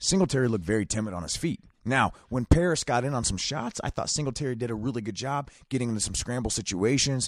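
On a very clean recording with a silent background, a man speaks very fast at a medium pitch in an animated tone with lively intonation and hardly any pauses. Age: 30s. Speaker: wrestling podcast co-host. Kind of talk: casual chat.

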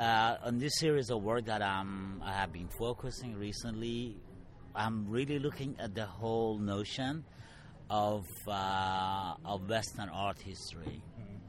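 Speaking fairly slowly with audible room echo, a man has a fairly low pitch and ordinary pitch variation. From Middle East. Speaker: artist. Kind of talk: interview.

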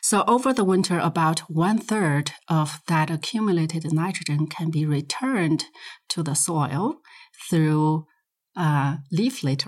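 At a fairly slow pace, a woman with a Chinese accent speaks in a fairly low pitch with lively intonation and very even loudness. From Inner Mongolia, China. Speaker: soil science professor. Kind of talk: interview. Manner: hesitant, frequent fillers.

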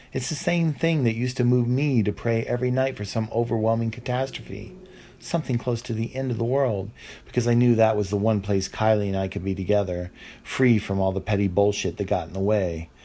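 A man speaks at a medium pitch and a fairly quick pace, with a dark, mellow tone and ordinary pitch variation. The recording is very clean, with a silent background. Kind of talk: literary fiction reading, first-person confessional narration of gritty memoir-like story.

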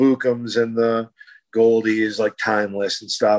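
Speaking with an American accent, a man at medium pitch keeps a moderate pace in a dry, close sound with no echo and a quiet background. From US Midwest (Lansing, Michigan). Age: 50s. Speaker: electronic music producer. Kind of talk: interview.

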